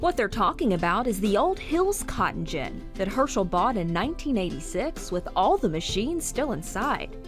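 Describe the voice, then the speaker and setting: Music plays in the background as a woman talks at a moderate pace with hardly any pauses, her fairly high pitch swinging very widely. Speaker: TV reporter. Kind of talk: TV news feature narration.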